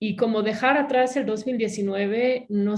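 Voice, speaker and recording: A woman speaks at a medium pitch, somewhat breathy, with fairly even intonation. Her pace is fairly slow against a quiet background. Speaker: academic panelist. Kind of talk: webinar panel discussion. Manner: hesitant, many fillers.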